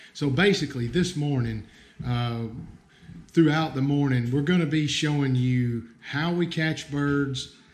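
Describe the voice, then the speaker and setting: With an American accent, a man talks at a fairly slow pace. Audible room echo surrounds his voice. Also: fairly high pitch for a man, ordinary pitch variation. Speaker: bird bander, conservation staff. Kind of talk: livestream field tutorial. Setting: outdoor livestream, nature reserve. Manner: casual, hesitant with fillers.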